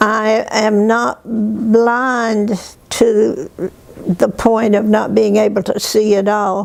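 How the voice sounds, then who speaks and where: Noticeable background noise around a woman's voice. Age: old. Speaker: retired prison education worker. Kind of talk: interview testimony. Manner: halting.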